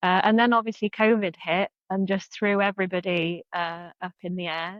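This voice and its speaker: A woman speaks with a South Wales accent. Her pitch is medium and her intonation fairly even. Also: moderate pace. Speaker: freelance marketing consultant. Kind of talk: interview answer.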